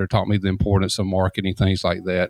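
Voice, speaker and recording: A man with a Southern US accent talks at a very fast pace in a fairly low pitch, the sound dry and close with no echo. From Columbus, Georgia, US South. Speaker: deck builder and consultant. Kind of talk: casual interview.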